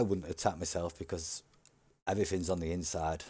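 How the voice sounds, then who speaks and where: Talking at a very fast pace with a Yorkshire accent, a man has a dark, mellow tone, captured in a very clean recording with a silent background. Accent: northern English (Yorkshire). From Yorkshire, northern England. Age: 40s. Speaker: gaming youtuber. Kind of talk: gameplay commentary. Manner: casual, animated.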